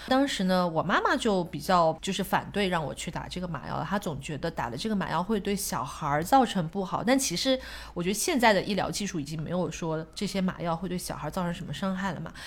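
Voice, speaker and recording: A woman talks fast, with hardly any pauses and lively intonation. Hers is a plain, everyday voice at medium pitch. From Shanghai, China. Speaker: guest sharing life story. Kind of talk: casual chat. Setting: at a home.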